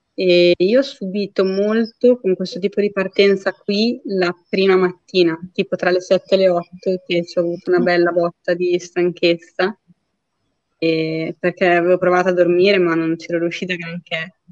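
A woman with a normal speaking voice and a medium pitch keeps her intonation fairly even at a moderate pace. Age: 30s. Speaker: ultra trail runner. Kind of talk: casual interview.

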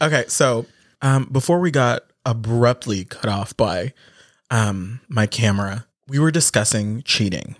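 A man with a normal speaking voice, medium-pitched and fairly slow, with ordinary pitch variation and very even loudness, on a very clean, dry, close recording with no echo and a silent background. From Philippines, raised in Canada. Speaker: podcast co-host. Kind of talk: casual chat. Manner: silly, joking.

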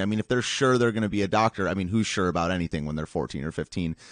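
A man with a Midwestern American accent speaks in a fairly low pitch with lively intonation. The sound is dry and close with no echo, over a quiet background. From Michigan, US Midwest. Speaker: live-stream show host. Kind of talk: casual interview. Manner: halting.

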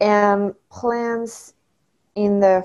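With a French accent, a woman talks at a very slow pace and a medium pitch. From France. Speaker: study abroad alumna. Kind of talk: interview.

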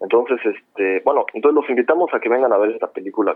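A man speaks. He has a Mexico City accent. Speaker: film director. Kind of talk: interview.

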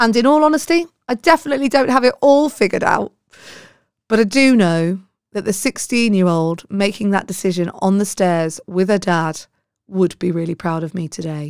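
A woman with a British accent at a medium pitch, with very wide pitch swings at a moderate pace, dry and close with no echo. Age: 40s. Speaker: podcast host. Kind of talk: personal monologue to listeners.

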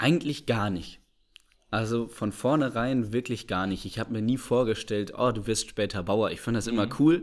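An ordinary speaking voice at a moderate pace, in a very clean recording with a silent background. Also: man, medium pitch for a man, ordinary pitch variation. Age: 20s. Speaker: agricultural engineering student, trained farmer. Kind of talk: interview.

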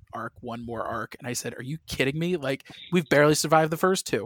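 A man speaks with an American accent and ordinary pitch variation. The recording is very clean with a silent background, and the sound is dry and close with no echo. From US Midwest, St. Louis, Missouri. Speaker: comic book writer. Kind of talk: interview. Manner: animated.

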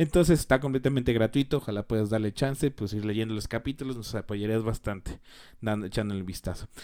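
A man's medium-pitched, dark and mellow voice at a very fast pace, on a very clean recording with a silent background. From Mexico. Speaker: podcast host. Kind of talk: solo podcast commentary. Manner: hesitant, many fillers.

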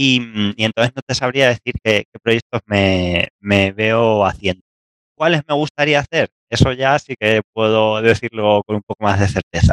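In a dry, close recording with no echo, a man speaks fairly slowly at a medium pitch with ordinary pitch variation. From Spain, Castilla-La Mancha. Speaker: researcher. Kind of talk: interview.

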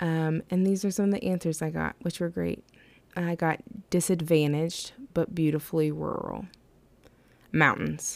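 A woman with an American accent speaks at a moderate pace and fairly low pitch, her intonation fairly even, with long, frequent pauses. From West Virginia, Appalachia. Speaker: podcast host. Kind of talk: casual monologue.

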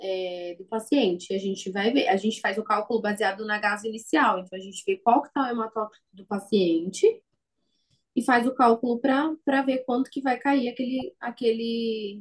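The voice is somewhat breathy, with big swings in loudness. Pacing is moderate and pitch variation ordinary. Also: woman. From São Paulo city, Brazil. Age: 20s. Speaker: perfusionist. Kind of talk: interview.

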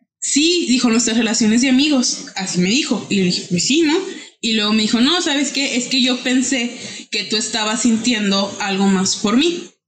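With audible room echo, a woman speaks at a moderate pace and fairly high pitch, her intonation lively and her loudness very even. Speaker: podcast guest. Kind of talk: casual chat.

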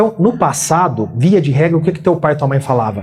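A high-pitched male voice with lively intonation at a moderate pace. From Brazil, Minas Gerais (Uberaba). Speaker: business executive and author. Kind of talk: interview.

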